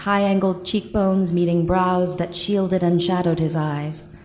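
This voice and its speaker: Speaking with fairly even intonation, a woman has an unremarkable speaking voice pitched fairly low. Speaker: audiobook narrator. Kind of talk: live audiobook reading.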